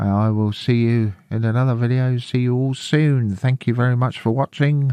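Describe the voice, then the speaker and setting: With an English accent, a man of medium pitch speaks at a moderate pace in a dark, mellow tone, his loudness very even and his intonation fairly even. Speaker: Linux tutorial youtuber. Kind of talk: screen-recorded tutorial.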